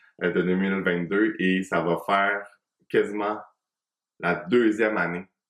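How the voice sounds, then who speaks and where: With a Quebec accent, a man speaks at a very slow pace in a fairly low voice. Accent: Québécois French. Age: 30s. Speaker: hairdresser and podcast host. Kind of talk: solo podcast monologue. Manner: casual, hesitant with fillers.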